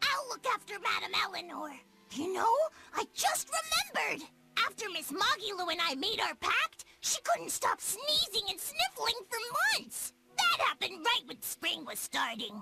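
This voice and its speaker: An extremely high, put-on character voice swings very widely in pitch. The pace is moderate. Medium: video game. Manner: polite, chatty.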